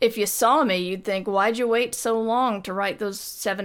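A woman speaks with vocal fry at a moderate pace and fairly even intonation. The recording is very clean, with a silent background. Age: 40s. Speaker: podcast co-host, writer, streamer. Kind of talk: casual chat.

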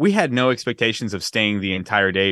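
A man talks in a normal speaking voice at a fairly low pitch. His intonation stays fairly even. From US West Coast, San Francisco Bay Area. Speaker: podcast guest, music fan. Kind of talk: casual chat.

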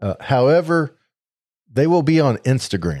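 A man with an American accent speaks at a moderate pace in a dark, mellow tone. The recording is very clean, with a silent background. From Missouri. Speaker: podcast host. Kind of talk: casual chat. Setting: live stream recording.

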